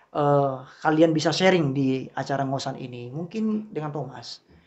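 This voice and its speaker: A man with a normal speaking voice talks at a moderate pace and a fairly high pitch, with ordinary pitch variation. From Riau, Indonesia. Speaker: podcast host, lecturer. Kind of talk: casual chat.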